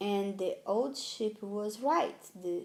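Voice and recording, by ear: Someone is reading aloud in a natural voice. The delivery sounds like reading.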